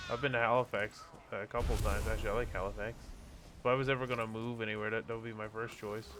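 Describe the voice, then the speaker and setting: Speaking at a very fast pace in a Newfoundland accent, a man with a medium-pitched voice sounds animated. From Canada, Newfoundland. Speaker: gaming streamer. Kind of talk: live gameplay commentary.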